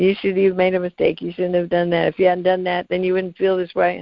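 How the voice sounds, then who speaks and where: In a put-on character voice, the speaker sounds whiny at a middle pitch and a fairly quick pace. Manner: condescending.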